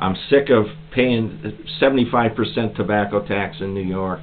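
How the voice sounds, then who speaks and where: A man speaks with music in the background. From Pennsylvania, US. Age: 60s. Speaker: YouTuber, pipe smoker, military veteran. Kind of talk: casual vlog monologue, rant. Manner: animated.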